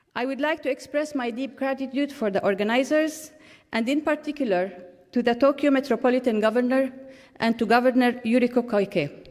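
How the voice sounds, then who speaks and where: Here a woman speaks with a high pitch. Her pitch variation is ordinary. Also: fairly quick pace. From Jordan. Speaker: ambassador. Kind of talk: keynote speech. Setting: conference stage with audience. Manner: formal.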